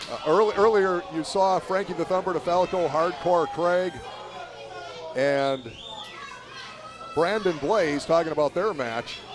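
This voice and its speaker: Speaking at a fairly slow pace with long, frequent pauses, a man with a high pitch is heard over noticeable background noise. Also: ordinary pitch variation. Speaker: wrestling commentator. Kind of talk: live sports commentary. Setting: live event venue.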